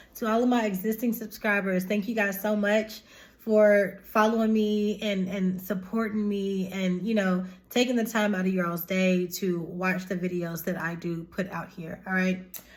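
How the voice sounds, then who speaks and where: A woman talks in a monotone with flat intonation, her voice somewhat breathy. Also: medium pitch for a woman, moderate pace. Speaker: tarot reader and spiritual YouTuber. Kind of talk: casual spiritual vlog talk to viewers. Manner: informal, chatty.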